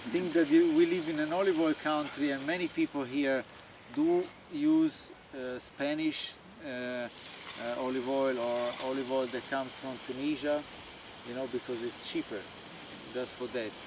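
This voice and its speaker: At a moderate pace, a man with an Italian accent talks in a fairly high voice with fairly even intonation and long, frequent pauses. Background noise is noticeable. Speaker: farmer. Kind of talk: informal talk to visiting group. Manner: halting.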